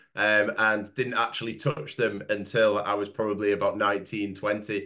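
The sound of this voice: A nasal, bright and sharp male voice, fairly low in pitch with little pitch movement. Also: moderate pace.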